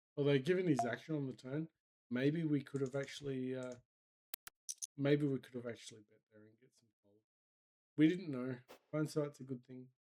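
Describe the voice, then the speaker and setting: Using a fairly high pitch and a dark, mellow tone, a man speaks at a moderate pace with fairly even intonation, big swings in loudness, and long, frequent pauses. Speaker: online poker player streaming sessions. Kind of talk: live gameplay commentary. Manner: casual, thinking aloud.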